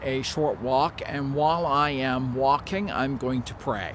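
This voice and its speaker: The speech moves at a very slow pace with ordinary pitch variation, recorded dry with no echo and light background noise behind it. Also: man. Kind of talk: casual vlog chat. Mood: warm, friendly. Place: garden. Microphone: phone near.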